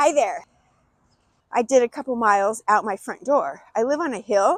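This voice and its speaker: In a very clean recording with a silent background and a dry, close sound with no echo, a woman speaks at a moderate pace with a high pitch and lively intonation. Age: 60s. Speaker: running coach. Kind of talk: vlog tutorial. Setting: outdoors in a park. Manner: casual.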